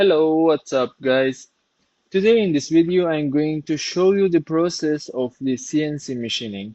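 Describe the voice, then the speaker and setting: A man with a dark, mellow tone speaks at a fairly slow pace with ordinary pitch variation, in a dry, close sound with no echo. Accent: non-native. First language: not English. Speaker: CNC workshop maker, YouTuber. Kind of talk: tutorial. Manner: halting, with fillers.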